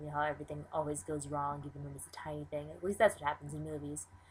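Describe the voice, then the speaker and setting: A woman talks with an American accent. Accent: Californian, noticed by others. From California. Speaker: vlogger. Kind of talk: casual vlog monologue.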